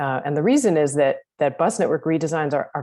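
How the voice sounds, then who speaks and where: A woman with a very deep, low pitch and a dark, mellow tone talks at a fairly quick pace. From United States. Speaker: transport planning consultant. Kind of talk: webinar presentation.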